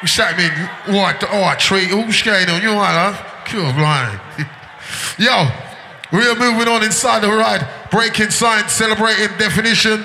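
Noticeable background noise sits behind a man speaking in a raised, projected voice. His pitch is high, with ordinary pitch variation at a moderate pace. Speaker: club MC hyping the crowd between DJ sets. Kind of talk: live DJ/MC patter, hype crowd calls over a set. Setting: club or party dance floor with crowd.

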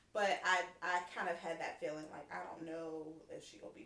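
A woman speaks while noticeable background noise is audible. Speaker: mother. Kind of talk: casual chat.

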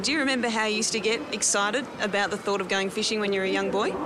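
Someone speaks with an Australian accent at a very fast pace. Noticeable background noise runs underneath. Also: woman. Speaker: podcast host. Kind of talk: casual chat and narration.

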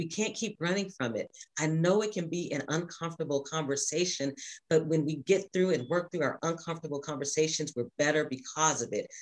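At a fairly quick pace, a woman speaks with a very deep, low pitch and ordinary pitch variation. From Louisville, Kentucky. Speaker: state legislator. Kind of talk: interview. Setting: remote from home.

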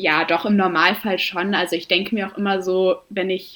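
A woman is talking. The intonation stays fairly even throughout. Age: 20s. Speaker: amateur runner and medical student. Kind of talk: interview. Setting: remote call.

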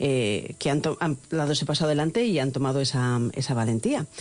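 Lively intonation at a fairly quick pace. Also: woman. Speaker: radio host. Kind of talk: radio interview. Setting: radio studio. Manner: animated.

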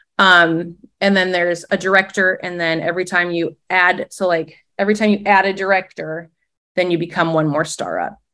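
A woman with an Upper Midwest accent speaks at a moderate pace and medium pitch. Her tone is bright and sharp, and the recording is very clean with a silent background. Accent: Upper Midwest American. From Minnesota, small lake town. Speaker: former teacher turned direct-sales leader. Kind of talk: casual interview.

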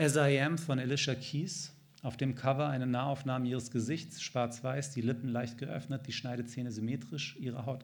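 Audible room echo follows a man speaking at a moderate pace with fairly even intonation. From Germany, Hanover. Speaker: novelist. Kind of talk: reading aloud. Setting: stage with audience.

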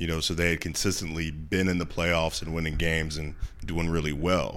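In an American accent, a man talks with a very deep, low pitch. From Ohio.

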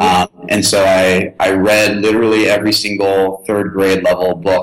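This man's voice has a very deep, low pitch and a monotone, flat intonation. Noticeable background noise sits behind him. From Tennessee, then Shanghai-born, Orange County from 13. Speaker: startup founder. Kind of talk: interview conversation.

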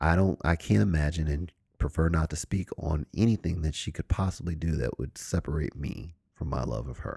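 Delivered at a fairly quick pace, the voice has vocal fry, a dark, mellow tone and ordinary pitch variation, with a dry, close sound and no echo. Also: man, very deep, low pitch for a man. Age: 40s. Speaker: podcast host. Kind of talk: casual monologue.

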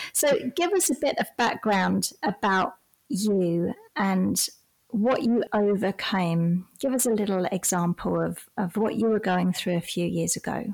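A woman speaks in a normal speaking voice at medium pitch, fairly slowly and at very even loudness, with ordinary pitch variation on a very clean recording with a silent background. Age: 40s. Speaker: podcast host and retreat facilitator. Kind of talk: casual interview chat.

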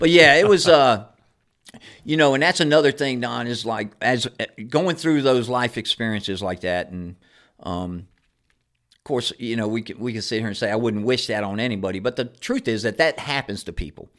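In a very clean recording with a silent background, a man uses a normal speaking voice at a medium pitch, with lively intonation, big swings in loudness and a moderate pace. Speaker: recovering alcoholic sharing his story. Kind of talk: casual interview.

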